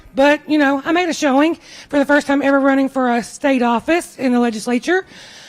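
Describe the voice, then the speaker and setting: Loud and very fast, a woman talks with a Kentucky accent. Her voice is high, with ordinary pitch variation. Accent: Kentucky Southern US. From Kentucky, Washington County. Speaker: political candidate and school teacher. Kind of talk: campaign speech. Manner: loud, projecting.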